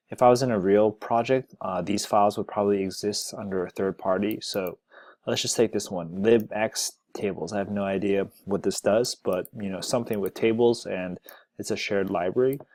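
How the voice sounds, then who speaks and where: A man has an ordinary speaking voice, fairly low in pitch with fairly even intonation at a moderate pace. The recording is very clean with a silent background and a dry, close sound with no echo. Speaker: software developer, tech video creator. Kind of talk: screencast tutorial. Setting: screen recording. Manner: casual.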